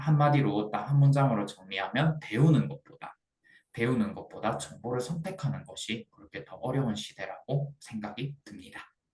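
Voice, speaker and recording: A man at medium pitch speaks at a moderate pace, somewhat breathy. His pitch varies in an ordinary way while his loudness swings widely. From Gyeongsang region, South Korea. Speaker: student presenter. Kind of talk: class presentation. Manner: halting, with frequent repetitions.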